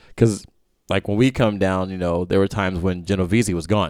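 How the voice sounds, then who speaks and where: Recorded very cleanly against a silent background, with a dry, close sound and no echo, a man with a normal speaking voice talks at a fairly quick pace, fairly low in pitch and with fairly even intonation. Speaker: podcast host and rapper. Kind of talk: casual interview chat. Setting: studio.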